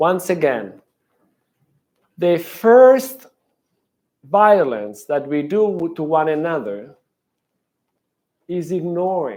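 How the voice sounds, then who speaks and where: With a strong Italian accent, a man speaks at high pitch with very wide pitch swings. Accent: heavy Italian. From Italy. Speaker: professor. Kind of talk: lecture. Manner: halting.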